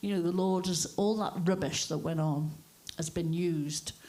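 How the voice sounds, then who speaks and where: A woman's dark, mellow, somewhat breathy voice, fairly low in pitch, with a North Welsh accent and audible room echo. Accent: north Wales English. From north Wales (Wrexham), born in Liverpool. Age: 60s. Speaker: cafe church owner. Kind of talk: testimony.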